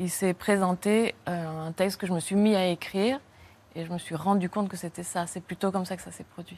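This woman talks at a moderate pace, her medium pitch held in fairly even intonation. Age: 40s. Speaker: writer. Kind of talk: interview. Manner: halting.

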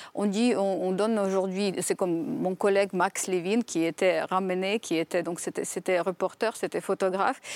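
A woman with a Ukrainian accent speaks at a fairly slow pace in a medium pitch. The recording is very clean, with a silent background and a dry, close sound with no echo. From western Ukraine. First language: Ukrainian (speaking French). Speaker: writer and former diplomat. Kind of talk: TV panel discussion. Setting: TV studio.

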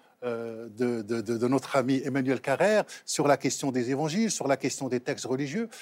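A man with a plain, everyday voice, medium pitch and ordinary pitch variation at a moderate pace, in a dry, close sound with no echo and a very clean recording with a silent background. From Morocco, raised in Trappes near Paris. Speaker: novelist and Islam scholar. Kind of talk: talk show discussion.

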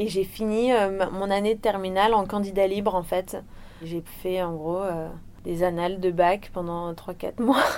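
A woman with an unremarkable speaking voice talks at a fairly slow pace at medium pitch, her intonation fairly even. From Réunion. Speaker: professional surfer. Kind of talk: interview.

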